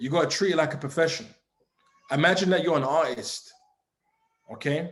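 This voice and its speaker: In audible room echo, a man with a fairly high pitch speaks at a fairly quick pace in an animated tone, with ordinary pitch variation. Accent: London. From England, East London. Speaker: forex trading mentor. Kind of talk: motivational talk.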